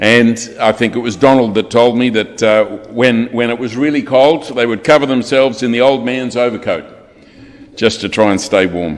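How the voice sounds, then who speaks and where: A man with an Australian accent talks at a moderate pace, his medium pitch varying in an ordinary way. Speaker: funeral celebrant. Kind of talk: eulogy. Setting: funeral service. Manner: formal.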